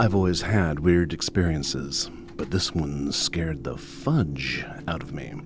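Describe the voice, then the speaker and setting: A man speaks at a fairly slow pace in a very deep, low pitch with ordinary pitch variation, against noticeable background noise. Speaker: storyteller. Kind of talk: ghost story reading on radio. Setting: radio studio.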